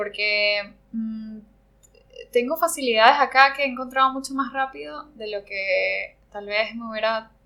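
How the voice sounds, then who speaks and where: Moving at a fairly slow pace, a woman speaks at a fairly high pitch with ordinary pitch variation and big swings in loudness. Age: 30s. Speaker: ceramic artist. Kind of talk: interview conversation. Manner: halting, many fillers.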